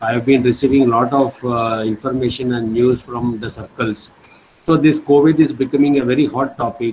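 This man's medium-pitched voice sounds somewhat breathy. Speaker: head of a university department. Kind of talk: formal welcome address. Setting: video call.

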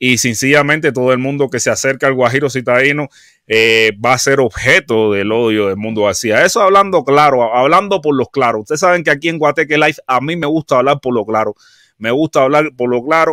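Against a quiet background and with a dry sound lacking echo, a man speaks fairly quickly in a bright, sharp tone with ordinary pitch variation. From Cuba. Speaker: YouTube live commentator. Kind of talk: live stream commentary. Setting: live stream. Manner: halting, frequent repetitions. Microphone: studio mic.

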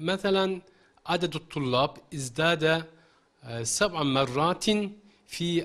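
Speaking at a very slow pace, a man with a fairly high pitch talks with a Turkish accent. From Turkey. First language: Turkish (speaking Arabic). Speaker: Arabic teacher. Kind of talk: interview. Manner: halting. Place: studio. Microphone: handheld.

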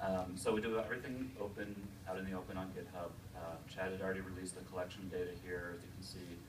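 Over noticeable background noise, a man with a very deep, low pitch talks at a very fast pace with fairly even intonation. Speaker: digital studio principal and developer. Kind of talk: live software demo at a conference. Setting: stage with audience. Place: meeting room. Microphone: podium.

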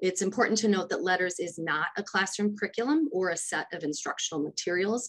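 Speaking with an American accent at a very fast pace and hardly any pauses, a woman keeps a medium pitch with ordinary pitch variation. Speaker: education department specialist. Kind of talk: legislative testimony.

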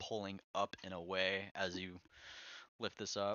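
A man is speaking. His pitch is very deep and low. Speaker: car audio installer. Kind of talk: tutorial. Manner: casual, hesitant with fillers.

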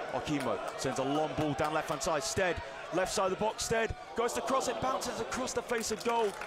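Noticeable background noise behind a man's animated, fairly quick speech with very wide pitch swings. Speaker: football commentator. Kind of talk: live match commentary over highlights. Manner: fast, rapid-fire play-by-play; animated, rising with big moments.

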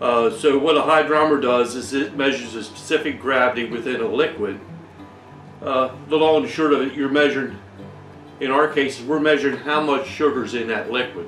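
Fairly quick speech with ordinary pitch variation, audible room echo, and faint music in the background. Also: man. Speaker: home brewing channel host. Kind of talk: tutorial. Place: workshop.

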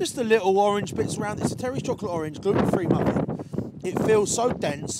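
A man's voice comes through dry, with no echo, over loud background noise. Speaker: food reviewer. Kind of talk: casual food review chat. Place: street. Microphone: lapel.

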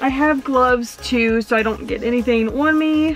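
Faint music plays behind a woman who speaks at a moderate pace with fairly even intonation, in a dry sound with no echo. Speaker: van renovation vlogger. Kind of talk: casual vlog chat. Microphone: phone near.

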